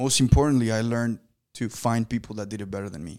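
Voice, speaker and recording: A man speaks in an ordinary speaking voice. The recording is very clean, with a silent background. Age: 20s. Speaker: podcast host, business owner. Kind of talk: casual interview chat.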